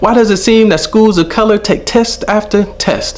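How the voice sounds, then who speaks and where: Noticeable background noise sits behind a man who speaks at a moderate pace with a high pitch. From Los Angeles area, Southern California. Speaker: spoken word poet, teacher. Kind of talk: spoken word performance. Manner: rhythmic, emphatic.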